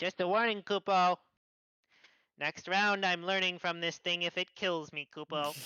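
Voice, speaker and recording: In a very clean recording with a silent background, a put-on character voice comes at a middle pitch and a moderate pace. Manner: ethereal.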